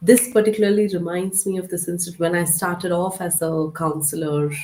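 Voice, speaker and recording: Against noticeable background noise, a woman talks at a fairly quick pace with fairly even intonation. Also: fairly low pitch for a woman. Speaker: counselor and educator. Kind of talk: casual discussion.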